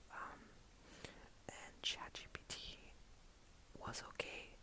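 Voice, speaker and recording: A man is whispering amid noticeable background noise. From Colombia. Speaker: ASMR content creator. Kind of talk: ASMR talk to camera. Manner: friendly, chatty.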